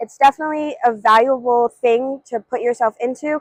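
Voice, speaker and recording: Speaking fairly quickly with an American accent, a woman keeps a high pitch and fairly even intonation. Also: dry, close sound with no echo. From Ithaca, New York, US. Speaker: education student. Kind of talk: interview testimony.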